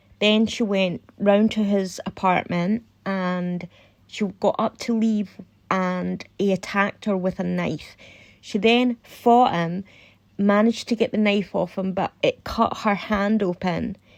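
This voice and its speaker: A woman with a Scottish accent, medium pitch, fairly even intonation and a fairly slow pace, in a very clean recording with a silent background. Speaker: true crime YouTuber. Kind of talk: casual commentary.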